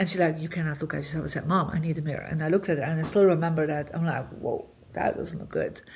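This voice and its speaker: A woman's somewhat breathy, fairly low-pitched voice with fairly even intonation, on a very clean recording with a silent background. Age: 60s. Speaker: feng shui master and spiritual teacher. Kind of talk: podcast interview, personal story. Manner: conversational with many fillers.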